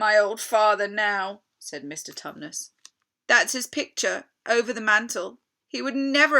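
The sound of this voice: The background is quiet for an unforced reading voice. Its pitch varies in an ordinary way.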